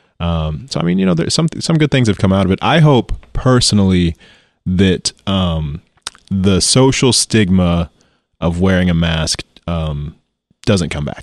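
With an American accent, a man speaks at a fairly slow pace in a very deep, low voice, leaving long, frequent pauses in a dry, close sound with no echo. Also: lively intonation. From US Midwest, Missouri (St. Louis, Joplin). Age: 20s. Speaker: musician and doctoral student. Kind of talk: casual chat.

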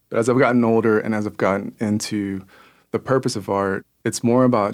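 On a very clean recording with a silent background, a normal speaking voice talks at a moderate pace, its pitch varying in an ordinary way. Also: man. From US, born Kansas City, raised in US Southeast. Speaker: muralist and painter. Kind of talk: interview conversation.

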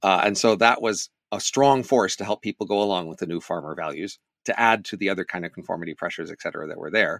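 A man talks at a very fast pace with a fairly low pitch and ordinary pitch variation. The recording is very clean, with a silent background. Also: big swings in loudness, dry, close sound with no echo. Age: 60s. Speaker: author and economist. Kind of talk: casual chat.

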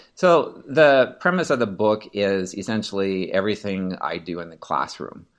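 A man with a normal speaking voice and an American accent, fairly low in pitch, at a moderate pace with hardly any pauses, over a quiet background. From US Pacific Northwest (Seattle, Washington). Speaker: orchestra teacher. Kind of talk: interview conversation.

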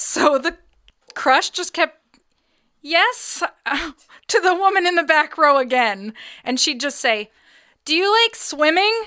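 A woman speaks at an extremely high pitch with very wide pitch swings, her voice raised and projected and her tone bright and sharp. She goes at a very slow pace with long, frequent pauses, on a very clean recording with a silent background. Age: 30s. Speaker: podcast co-host. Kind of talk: casual chat. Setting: studio.

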